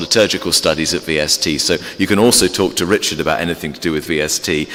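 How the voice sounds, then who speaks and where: A man with an English accent talks at a very fast pace with ordinary pitch variation. Music plays in the background. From England. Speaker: theology professor and Anglican priest. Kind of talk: informal talk to a church congregation. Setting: church. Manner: halting with many fillers.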